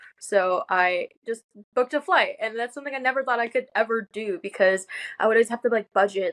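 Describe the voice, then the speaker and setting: A woman's ordinary speaking voice, fairly high-pitched, with ordinary pitch variation, a fairly quick pace and a dry, close sound with no echo. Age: 18. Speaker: college student, sales closer. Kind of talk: interview. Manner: casual, filler-heavy.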